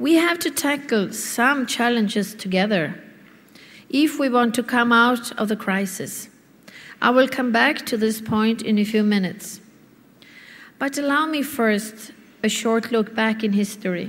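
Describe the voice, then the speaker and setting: A woman with a fairly high pitch speaks with long, frequent pauses. Audible room echo surrounds her voice. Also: ordinary pitch variation, fairly slow pace. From Sweden. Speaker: business association president. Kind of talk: conference speech. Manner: formal.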